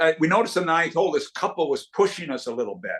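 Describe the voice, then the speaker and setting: The pitch swings very widely throughout. The speaker talks with a Canadian accent. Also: man. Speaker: retired hockey executive and coach. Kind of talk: casual chat. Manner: animated.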